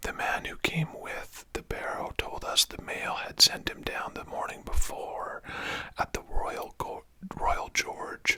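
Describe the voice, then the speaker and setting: A very slow whisper in a gentle tone over noticeable background noise. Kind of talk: whispered audiobook-style reading of a novel, ASMR. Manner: whispered, gentle, relaxing.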